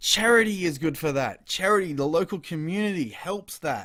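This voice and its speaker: On a very clean recording with a silent background, a man speaks at a high pitch in a bright, sharp tone. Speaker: vlogger. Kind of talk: casual monologue. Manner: hesitant, many fillers; stuttering at times.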